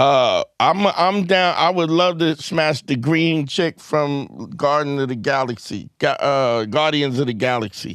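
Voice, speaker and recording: This man has a normal speaking voice, pitched fairly high, with ordinary pitch variation. He speaks at a fairly slow pace with hardly any pauses. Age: 60s. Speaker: relationship advice show host. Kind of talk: casual chat.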